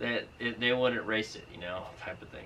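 Light background noise sits behind a man's voice. He talks at a fairly quick pace with ordinary pitch variation. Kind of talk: casual vlog chat. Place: garage. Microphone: camera far.

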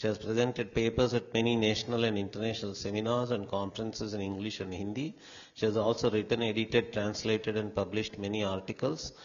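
Very fast, monotone, flat delivery from a man at a fairly low pitch. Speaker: conference host introducing speaker. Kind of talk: formal speaker introduction read aloud. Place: hall. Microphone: handheld.

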